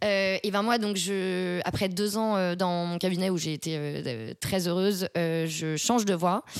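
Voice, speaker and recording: A woman speaks at a medium pitch with ordinary variation in it. Her pace is very slow. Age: 20s. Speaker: marketing strategy consultant. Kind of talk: interview.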